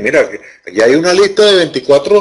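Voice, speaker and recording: The pace is fairly quick as this man speaks. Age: 70s. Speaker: online course tutor. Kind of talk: lecture. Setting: video conference. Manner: halting, with frequent repetitions.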